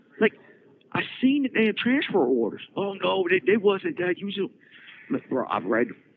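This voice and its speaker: With noticeable background noise behind him, a man speaks at a moderate pace in a high, animated voice. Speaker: prison inmate podcaster. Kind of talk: casual storytelling monologue. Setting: prison phone call. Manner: animated, repetitive stammering.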